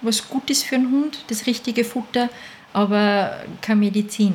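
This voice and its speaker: A woman with a fairly high pitch speaks in a somewhat breathy way. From Austria, Salzburg region (Mondsee). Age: 50s. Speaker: dog food maker, business owner. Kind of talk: casual interview.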